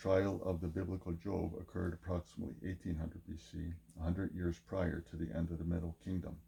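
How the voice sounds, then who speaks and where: Speaking at a very fast pace with hardly any pauses, a man uses a very deep, low pitch, a dark, mellow tone, a somewhat breathy quality and fairly even intonation. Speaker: video essayist. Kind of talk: scripted narration. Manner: monotone.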